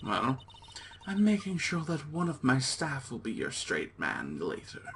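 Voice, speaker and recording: Over clear background noise, a man uses a put-on character voice at a fairly high pitch and a moderate pace. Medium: actual play. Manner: rambling, nervous, joking.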